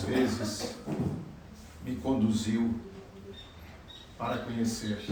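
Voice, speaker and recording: A man talks at a very slow pace. Room echo is audible, and background noise is noticeable. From southern Brazil, Rio Grande do Sul. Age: 70s. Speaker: spiritist lecturer. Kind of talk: lecture.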